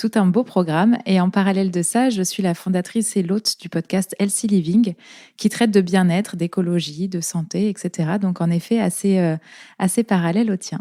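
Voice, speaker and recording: A woman with a dark, mellow tone and fairly even intonation speaks at a moderate pace, the sound dry and close with no echo on a very clean recording with a silent background. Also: medium pitch for a woman. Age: 30s. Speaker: naturopath and podcast host. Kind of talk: interview. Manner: hesitant, many fillers.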